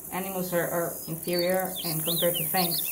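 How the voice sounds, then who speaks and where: At a moderate pace, a woman talks amid noticeable background noise and audible room echo. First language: not English. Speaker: gaming streamer. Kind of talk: casual live stream commentary while gaming. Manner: hesitant, with frequent fillers and restarts.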